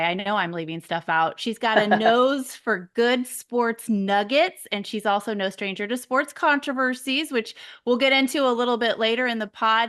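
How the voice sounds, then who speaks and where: A woman speaks in a plain, everyday voice, pitched fairly high. Her intonation is lively and her pace moderate. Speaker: podcast host. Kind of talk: podcast intro. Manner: upbeat.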